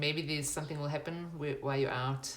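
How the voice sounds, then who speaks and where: The intonation stays fairly even, with audible room echo. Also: woman. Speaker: tarot reader. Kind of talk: tarot reading.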